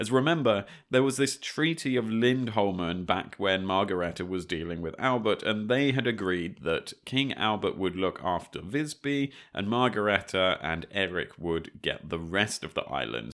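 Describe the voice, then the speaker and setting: A man with an unremarkable speaking voice talks at a moderate pace with hardly any pauses, using lively intonation at a fairly low pitch. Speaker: history podcast co-host. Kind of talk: scripted narration.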